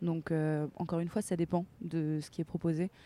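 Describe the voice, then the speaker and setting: A woman speaks at a fairly slow pace in a fairly low, dark and mellow voice with monotone, flat intonation, recorded with a dry, close sound and no echo. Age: 20s. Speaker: actress. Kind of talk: casual chat. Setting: outdoors.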